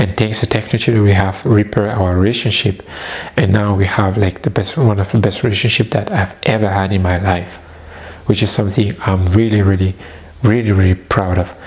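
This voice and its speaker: A man with a non-native accent and fairly low pitch talks at a fairly quick pace with very even loudness and fairly even intonation, amid noticeable background noise. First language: not English. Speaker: personal development vlogger. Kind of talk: personal testimony.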